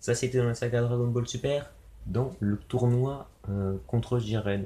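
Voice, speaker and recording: A man speaks at a very slow pace with a medium pitch. His voice is somewhat breathy, with a dark, mellow tone. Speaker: youtuber opening trading card packs. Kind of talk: casual unboxing commentary. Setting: home video recording, someone else filming. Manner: casual, hesitant with fillers. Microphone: low quality video recording.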